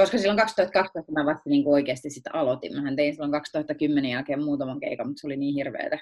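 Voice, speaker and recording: At a very fast pace with hardly any pauses, a woman talks in a very deep, low pitch with ordinary pitch variation. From Finland, Tampere region (Viiala). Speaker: stand-up comedian. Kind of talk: casual interview chat.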